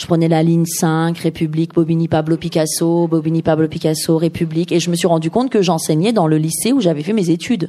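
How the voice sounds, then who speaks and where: A woman speaks at a fairly quick pace with hardly any pauses, her pitch fairly low. Her tone is dark and mellow, and her intonation stays fairly even. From Iran, raised in Paris from age 6. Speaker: novelist. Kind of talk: author talk at a bookshop. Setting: bookshop event with audience.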